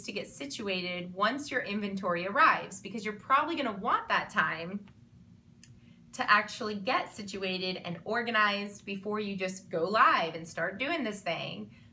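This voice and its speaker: A woman's voice with audible room echo. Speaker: online clothing seller and vlogger. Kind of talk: vlog monologue. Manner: fast; animated.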